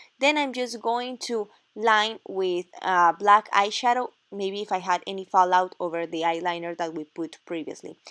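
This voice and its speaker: A woman with a Spanish accent speaks at a moderate pace and medium pitch with ordinary pitch variation, her tone bright and sharp, in a very clean recording with a silent background and a dry, close sound with no echo. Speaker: makeup artist. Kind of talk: tutorial.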